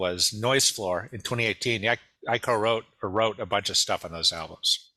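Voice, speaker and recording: With a Midwestern US accent, the voice has a bright, sharp tone and ordinary pitch variation. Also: man. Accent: General American, Midwest. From US Midwest, Detroit. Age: 60s. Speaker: musician and songwriter. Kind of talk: interview.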